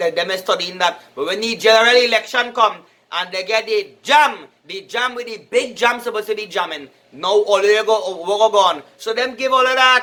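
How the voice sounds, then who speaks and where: A man with a Trinidadian accent speaks in a raised, projected voice at a high pitch. His tone is bright and sharp, his pace moderate, and his pitch varies in an ordinary way. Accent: Trinidadian Creole English. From Trinidad and Tobago. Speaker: political commentator. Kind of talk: casual political talk. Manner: halting, repetitive.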